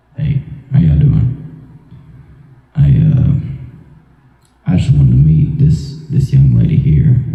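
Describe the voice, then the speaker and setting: Using a put-on character voice, a man speaks at medium pitch and a moderate pace with very even loudness and long, frequent pauses, all under a strong echo. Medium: solo performance. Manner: brash, swaggering.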